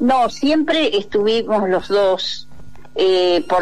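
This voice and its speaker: A woman speaks at a very slow pace in a medium pitch. Her pitch makes very wide swings. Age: 60s. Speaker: popular educator, dictatorship torture survivor. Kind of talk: radio interview testimony. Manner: halting.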